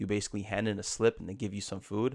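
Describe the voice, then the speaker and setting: A man talks at a very fast pace in a fairly low, monotone, flat voice. The recording is very clean, the background silent. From Poland, then raised in Chicago. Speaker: ICU travel nurse and podcaster. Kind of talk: casual chat.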